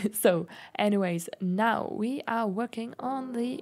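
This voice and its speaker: A woman speaks with a German accent. Her pitch shows ordinary variation. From Germany. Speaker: gaming YouTuber. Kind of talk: voiceover commentary. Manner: casual, hesitant with fillers.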